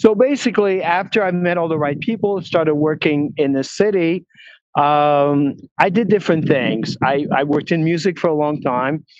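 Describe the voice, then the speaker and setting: In a Quebec accent, the speaker keeps a moderate pace and ordinary pitch variation. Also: man, fairly high pitch for a man. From Quebec, Montreal. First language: French. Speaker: film producer and talent agent. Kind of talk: interview. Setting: walking outdoors at a film studio lot, video call.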